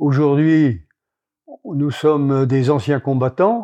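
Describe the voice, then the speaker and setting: A dark, mellow tone comes through at a very slow pace over a quiet background. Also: man. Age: 80s+. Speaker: retired poultry breeder. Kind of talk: interview. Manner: halting.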